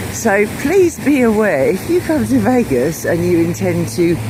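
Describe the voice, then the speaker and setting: Speaking at a fairly slow pace, a woman has an English accent. The recording carries audible room echo and noticeable background noise. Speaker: travel vlogger. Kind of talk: casual vlog narration. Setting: walking outdoors on the Strip. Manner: chatty, hesitant fillers; loud.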